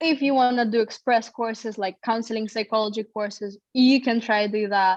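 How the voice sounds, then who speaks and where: The speaker has a Russian accent and fairly even intonation at a moderate pace. The sound is dry and close, with no echo. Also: woman. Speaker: psychology graduate. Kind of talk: interview.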